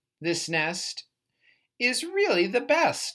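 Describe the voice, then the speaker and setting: This put-on character voice sounds female, pitched high for a woman with very wide pitch swings. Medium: read story. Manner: bossy, fussy.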